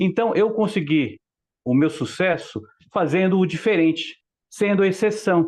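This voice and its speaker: Against a quiet background, the speaker goes at a fairly slow pace with ordinary pitch variation, long, frequent pauses and very even loudness. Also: man, high pitch for a man. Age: 60s. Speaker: mature student and former police investigator. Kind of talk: group discussion contribution. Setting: video call.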